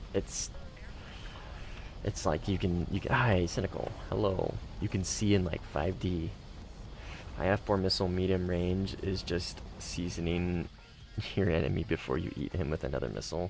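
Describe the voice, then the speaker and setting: Relaxed in tone, a man with an American accent speaks at a very deep, low pitch with ordinary pitch variation and long, frequent pauses, over noticeable background noise. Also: moderate pace. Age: 20s. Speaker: gaming streamer. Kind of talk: casual chat. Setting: live stream with chat. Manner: casual, relaxed.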